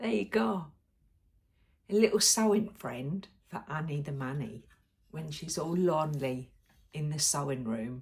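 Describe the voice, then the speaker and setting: In a British accent, a woman with a very deep, low pitch and a somewhat breathy voice speaks at a fairly slow pace, her pitch swinging very widely between long, frequent pauses. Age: 60s. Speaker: sewing vlogger. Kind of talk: casual vlog chat. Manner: chatty, with frequent ums.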